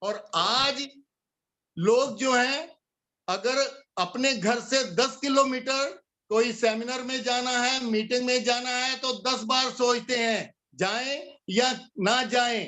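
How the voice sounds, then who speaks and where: Speaking with fairly even intonation, a man has an extremely high-pitched voice. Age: 60s. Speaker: network marketing leader / motivational speaker. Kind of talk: motivational talk.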